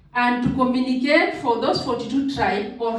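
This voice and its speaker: With audible room echo and noticeable background noise, a woman speaks at a high pitch. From Kenya. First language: Maa. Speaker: Maasai community delegate. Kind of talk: cultural presentation.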